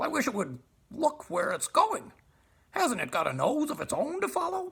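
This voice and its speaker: Speaking at a moderate pace, a man puts on a character voice at an extremely high pitch. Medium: read story. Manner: cheerful, wide-eyed.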